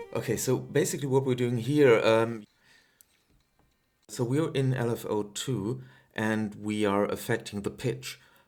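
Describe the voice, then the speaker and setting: The speaker has a German accent and talks at a fairly slow pace. Long pauses come often. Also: man, medium pitch for a man, ordinary pitch variation. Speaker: music producer, synth tutorial maker. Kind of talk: casual tutorial talk. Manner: hesitant, many filler sounds.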